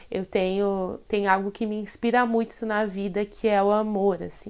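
At a fairly slow pace, a woman with a medium pitch speaks in a monotone, flat intonation. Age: 20s. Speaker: podcast host, tarot reader and photographer. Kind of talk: solo casual monologue. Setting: solo recording.

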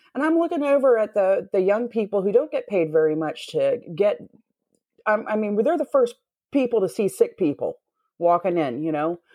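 This woman has a fairly high pitch, very wide pitch swings and a dark, mellow tone, with a Southern US accent. She talks at a moderate pace against a quiet background. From US South. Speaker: X-ray technician. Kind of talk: casual chat.

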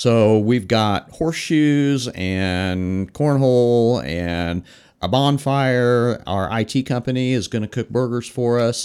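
The recording is very clean with a silent background. A man with an American accent uses an ordinary speaking voice at medium pitch with lively intonation. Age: 50s. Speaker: fire chief. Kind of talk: casual interview.

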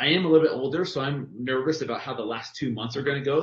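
A man talks with an American accent in a somewhat breathy voice. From California. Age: 40s. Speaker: personal trainer. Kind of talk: casual chat.

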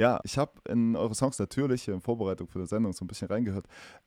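A man speaks at a very fast pace with a fairly low pitch and a dark, mellow tone. The recording is very clean, with a silent background. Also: dry, close sound with no echo. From eastern Germany, Mansfeld region. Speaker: podcast host. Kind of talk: casual chat; announcement.

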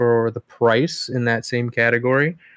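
A plain, everyday voice at a moderate pace, with dry, close sound and no echo. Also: man. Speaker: whiskey podcast host. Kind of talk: casual chat.

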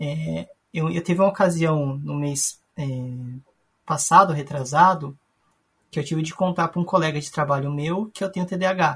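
At a moderate pace, a man with a fairly high voice and fairly even intonation speaks with long, frequent pauses. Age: 30s. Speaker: podcast guest with ADHD. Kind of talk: casual chat.

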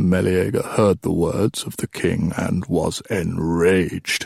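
A man's put-on character voice, low-pitched and slow, with little pitch movement, a slightly husky edge and vocal fry. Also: dry, close sound with no echo.

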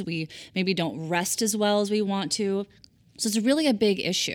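A woman's unremarkable speaking voice at medium pitch, moderate pace and ordinary pitch variation. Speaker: podcast host. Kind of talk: interview intro and host questions, branded podcast.

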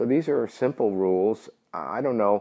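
With a New York accent, a man talks at a moderate pace, his fairly low pitch moving with ordinary variation. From New York City. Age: 50s. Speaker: gambling industry entrepreneur. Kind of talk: interview. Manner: direct.

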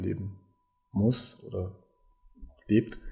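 The man's voice comes across as somewhat breathy. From Kosovo and Germany. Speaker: homeless aid coordinator. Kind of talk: interview.

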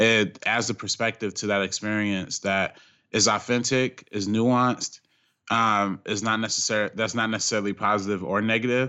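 Fairly even intonation at a moderate pace, in an ordinary speaking voice. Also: man, fairly low pitch for a man. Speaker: film critic, director and YouTube creator. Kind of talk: casual film discussion.

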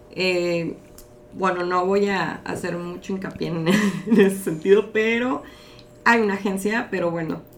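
A woman speaks at a fairly slow pace in a room with audible echo. Noticeable background noise runs underneath. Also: medium pitch for a woman, fairly even intonation. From Mexico, Mexicali (Baja California). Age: 30s. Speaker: model and modeling agency manager. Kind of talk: casual interview.

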